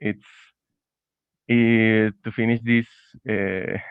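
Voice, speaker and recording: A man talks with a Spanish accent at a fairly low pitch. His intonation stays fairly even. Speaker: student presenter. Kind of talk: conference talk. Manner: halting.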